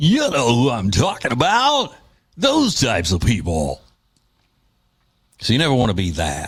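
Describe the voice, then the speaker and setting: A man at medium pitch with vocal fry and very wide pitch swings, at a fairly slow pace. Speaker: radio talk show host. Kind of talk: talk radio monologue.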